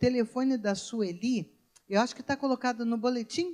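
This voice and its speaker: Her pitch is fairly high and varies in an ordinary way. The woman keeps a moderate pace. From Brazil, Rio de Janeiro. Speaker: pastor. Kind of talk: sermon. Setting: church.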